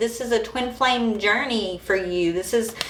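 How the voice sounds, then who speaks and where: A woman's bright, sharp tone comes through with audible room echo. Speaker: tarot reader. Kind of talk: live tarot reading. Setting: livestream. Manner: casual, conversational.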